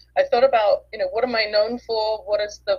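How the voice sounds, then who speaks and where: Speaking at a fairly quick pace, a woman talks with an English accent. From England. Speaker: author and business coach. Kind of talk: interview. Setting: live video stream.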